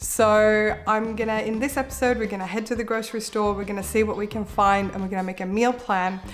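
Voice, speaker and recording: The voice rushes at a very fast pace with hardly any pauses and a monotone, flat intonation, with music in the background. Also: woman, fairly high pitch for a woman. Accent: Australian. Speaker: cooking and meal-planning YouTuber. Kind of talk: vlog-style tutorial.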